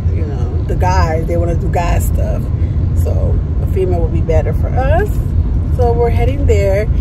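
A woman at a moderate pace, dry sound with no echo, amid loud background noise. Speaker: travel vlogger. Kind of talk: casual vlog chat. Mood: relaxed, chatty. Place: car. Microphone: phone near.

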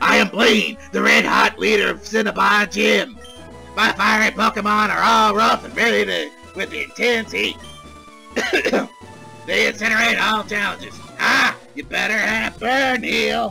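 A man's put-on character voice over clear music in the background. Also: moderate pace. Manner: boastful, theatrical, hammy.

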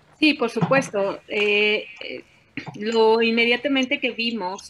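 At a very slow pace, a woman speaks in a bright, sharp tone with ordinary pitch variation, a dry sound with no echo and light background noise. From Mexico. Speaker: journalist and union leader; journalist. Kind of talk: panel discussion. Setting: video call. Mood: earnest, firm about labour dispute. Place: home room. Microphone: video call.

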